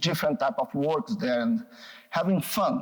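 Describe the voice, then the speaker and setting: A man in a Brazilian accent, with very wide pitch swings. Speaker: psychoanalyst and researcher. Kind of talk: public talk. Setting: gallery talk with audience. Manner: halting.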